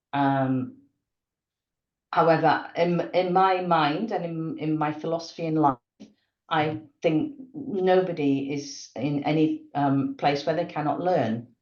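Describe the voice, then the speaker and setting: Long, frequent pauses break up the very slow speech, which shows ordinary pitch variation. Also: woman, very deep, low pitch for a woman. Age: 60s. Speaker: company director. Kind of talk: interview. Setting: podcast. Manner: animated.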